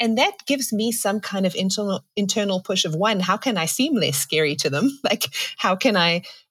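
On a very clean recording with a silent background, a woman speaks with a South African accent. Her medium-pitched voice is somewhat breathy, with lively intonation. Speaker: pastor and writer. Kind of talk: casual chat. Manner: laughs often.

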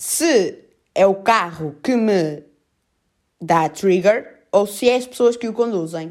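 Speaking in a strong Porto accent, a woman with a medium-pitched voice uses lively intonation at a very slow pace, with long, frequent pauses. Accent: strong northern Portuguese (Porto). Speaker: podcaster. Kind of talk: casual solo monologue. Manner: casual, filler-heavy.

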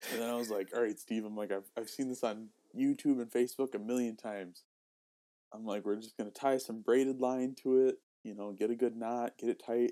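A man talks at medium pitch and a fairly quick pace. His loudness swings widely. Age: 20s. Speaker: podcast co-host. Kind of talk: casual chat. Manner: animated.

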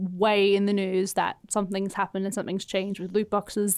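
A woman in an Australian accent, medium pitch, moderate pace, in a very clean recording with a silent background. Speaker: podcast host. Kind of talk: casual chat.

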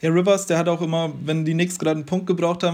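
This man talks at a very fast pace in a monotone, flat intonation, his pitch fairly high. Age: 20s. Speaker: basketball fan podcast guest. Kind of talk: casual chat.

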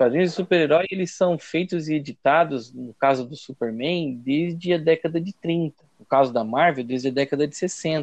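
A normal speaking voice from a man, fairly high in pitch, at a moderate pace with hardly any pauses, ordinary pitch variation, and a dry, close sound with no echo. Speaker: professor. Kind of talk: casual interview.

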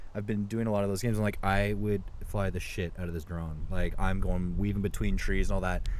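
At a fairly quick pace, a man with a plain, everyday voice speaks at a fairly low pitch with fairly even intonation. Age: 20s. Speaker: podcast co-host. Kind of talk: casual chat. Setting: working from home.

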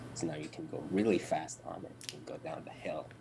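A man whispers at a fairly quick pace over noticeable background noise. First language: Arabic. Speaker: IT worker, old friend of host. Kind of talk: casual chat. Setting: video call.

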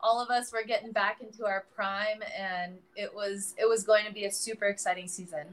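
A woman with an American accent has an ordinary speaking voice and a medium pitch. She speaks at a moderate pace with hardly any pauses and fairly even intonation. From US, San Francisco area. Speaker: professional volleyball player. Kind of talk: casual interview.

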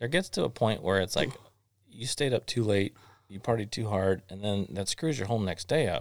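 A man at a fairly low pitch and moderate pace, ordinary pitch variation, a normal speaking voice, on a very clean recording with a silent background. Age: 40s. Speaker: podcast host. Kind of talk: casual chat. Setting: studio.

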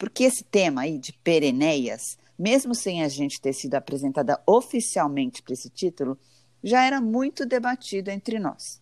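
A woman's voice, fairly low in pitch, with very wide pitch swings at a moderate pace, on a very clean recording over a silent background. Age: 40s. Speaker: podcast co-host, journalist. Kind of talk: casual chat; scripted intro.

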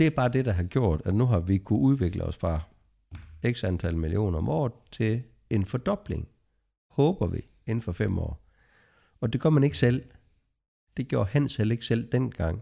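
Fairly low-pitched man at a moderate pace, with long, frequent pauses in a very clean recording with a silent background. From Denmark, near Lunderskov (southern Jutland). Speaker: construction company co-owner. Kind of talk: podcast interview. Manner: hesitant, many filler sounds.

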